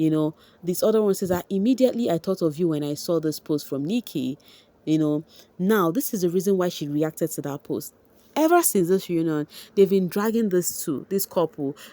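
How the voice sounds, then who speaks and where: Fairly low-pitched, dark, mellow woman's voice at a fairly quick pace with ordinary pitch variation, in a dry, close sound with no echo. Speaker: entertainment vlogger. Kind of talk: celebrity gossip vlog.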